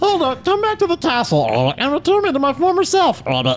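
Someone in a put-on character voice talks at a very fast pace over clear background noise. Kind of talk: comic fan dub. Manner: pleading, comic.

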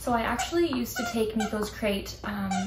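Light background noise and audible room echo accompany a woman's voice. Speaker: pet vlogger. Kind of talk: casual vlog chat. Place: home room. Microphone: camera far.

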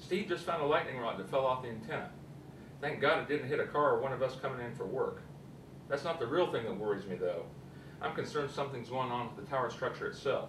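A man speaking at a very fast pace over noticeable background noise. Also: ordinary pitch variation. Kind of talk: acted phone call. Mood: worried, urgent. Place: studio.

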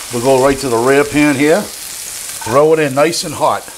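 There is light background noise as a man talks with fairly even intonation. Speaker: home cook host. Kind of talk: tutorial. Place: kitchen.

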